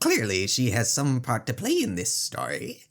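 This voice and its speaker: A man's put-on character voice, smug in tone, medium in pitch and moderate in pace. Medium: game stream. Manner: smug, patronizing.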